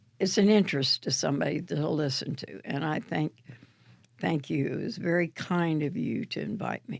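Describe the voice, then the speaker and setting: This woman has a very deep, low pitch and vocal fry, talking at a moderate pace with lively intonation. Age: 80s+. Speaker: tennis coach. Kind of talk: interview.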